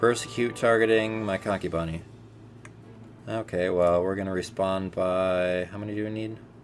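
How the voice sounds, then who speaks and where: A man speaks in a relaxed tone at a fairly low pitch, with fairly even intonation. Music plays in the background. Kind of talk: casual gameplay commentary. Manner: casual, relaxed.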